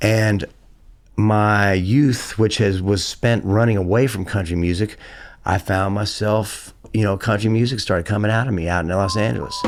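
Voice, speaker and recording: A man with an American accent talks at a moderate pace and a fairly low pitch, his loudness very even and his intonation fairly even. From US South. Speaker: singer-songwriter and guitarist. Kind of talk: casual interview.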